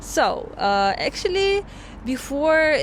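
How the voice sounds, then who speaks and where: A woman with a Russian accent speaks at a very slow pace. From Russian Far East, Vladivostok. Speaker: vlogger. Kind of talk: explanatory vlog talk. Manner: halting, many fillers.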